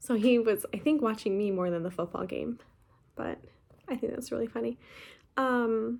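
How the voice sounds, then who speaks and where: Mumbling at a moderate pace, a woman talks in a fairly high pitch. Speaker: cross-stitch vlogger. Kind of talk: casual chat.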